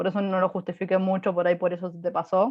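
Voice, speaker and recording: This woman talks at a fairly quick pace and a medium pitch. Hers is an unremarkable speaking voice. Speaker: physics lecturer. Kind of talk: lecture.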